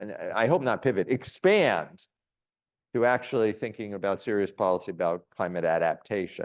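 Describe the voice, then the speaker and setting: Against a quiet background, a man with a normal speaking voice moves at a fairly slow pace with lively intonation. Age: 60s. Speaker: economist, visiting scholar. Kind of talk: Q&A after a lecture.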